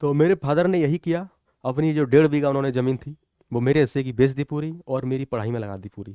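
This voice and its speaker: A man speaks at medium pitch and a moderate pace, with ordinary pitch variation and a dark, mellow tone. The sound is dry with no echo, against a quiet background. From Morena district, Chambal region, Madhya Pradesh, India; Madhya Pradesh. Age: 20s. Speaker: police officer, exam topper. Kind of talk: motivational talk and exam guidance. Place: studio. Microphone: headset.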